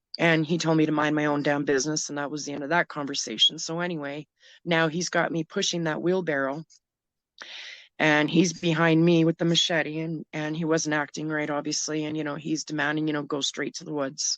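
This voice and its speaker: A woman with a Canadian accent speaks at a fairly quick pace in a very deep, low pitch with monotone, flat intonation. The sound is dry and close, with no echo. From Canada, Manitoba. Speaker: domestic violence survivor and advocate. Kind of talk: casual chat.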